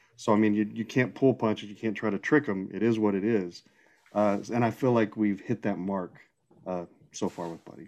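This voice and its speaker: A man with a plain, everyday voice and an American accent speaks at a fairly low pitch with ordinary pitch variation. His pace is moderate, and the background is quiet. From Texas, small town (Seminole). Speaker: nurse and comic book writer. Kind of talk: casual chat.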